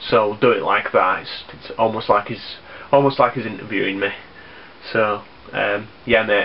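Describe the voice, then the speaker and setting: A man talks at a fairly slow pace and medium pitch. Noticeable background noise sits behind him. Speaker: YouTuber, gaming vlogger. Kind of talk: casual vlog. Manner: halting, many ums and repeats.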